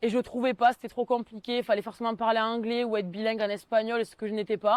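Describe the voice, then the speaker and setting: A woman talks at a very fast pace in a fairly high pitch, her intonation flat and monotone. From southwestern France, Tarn (Mazamet). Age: 20s. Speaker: civic service volunteer. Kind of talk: interview testimony. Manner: hesitant, with frequent fillers.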